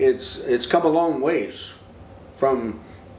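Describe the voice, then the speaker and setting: Noticeable background noise accompanies a man's fairly high voice, which varies in pitch in an ordinary way. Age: 70s. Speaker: interviewee on tattoo culture. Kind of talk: documentary interview. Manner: halting.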